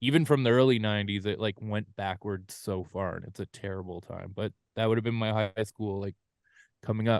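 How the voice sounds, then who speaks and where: Here is a man with an ordinary speaking voice. He talks at a moderate pace and a medium pitch. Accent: Canadian. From Canada, London Ontario. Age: 40s. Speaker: rock drummer. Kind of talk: casual interview.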